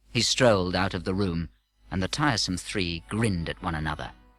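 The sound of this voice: A man's low-pitched, fairly bright voice with ordinary pitch variation. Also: moderate pace.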